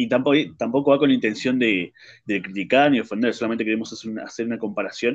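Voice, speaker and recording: A man with a Rioplatense accent talks at a very fast pace against a quiet background. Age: 20s. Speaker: podcast host. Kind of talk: casual chat.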